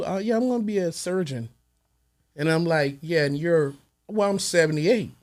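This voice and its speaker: This man speaks with an American accent at a moderate pace. His pitch is high and his intonation lively. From Texas, by way of Little Rock Arkansas. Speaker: music producer. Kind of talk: interview conversation. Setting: studio.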